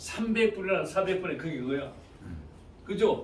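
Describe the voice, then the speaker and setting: A loud, high-pitched man's voice amid noticeable background noise and audible room echo. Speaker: network marketing presenter. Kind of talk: sales pitch.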